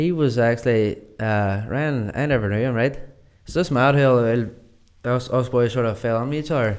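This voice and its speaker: A man with a Northern Irish accent, medium pitch, ordinary pitch variation and a moderate pace. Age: young. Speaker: singer. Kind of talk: interview answer. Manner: casual.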